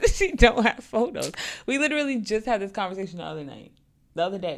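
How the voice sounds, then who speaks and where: Very fast and full of very wide pitch swings, a woman's fairly high voice carries vocal fry. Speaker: podcast co-host. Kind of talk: casual chat.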